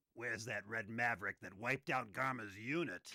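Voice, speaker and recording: A man puts on a raspy character voice at medium pitch. The sound is dry and close, with no echo. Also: fairly quick pace. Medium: video game. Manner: authoritative, calm.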